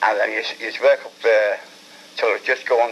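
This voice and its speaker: A man with a Liverpool accent over noticeable background noise. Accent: Liverpool (Scouse). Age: 80s+. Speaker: war veteran, former prisoner of war. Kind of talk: interview answer.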